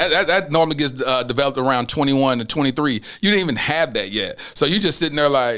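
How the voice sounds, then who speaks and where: Loud and very fast, a man talks in a bright, sharp tone at a fairly high pitch. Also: ordinary pitch variation. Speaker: podcast host. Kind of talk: casual chat.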